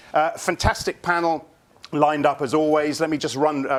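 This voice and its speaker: Fairly quick speech from a man pitched fairly high. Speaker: moderator of live panel show. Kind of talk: live panel moderation. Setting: studio at a conference. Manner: fast.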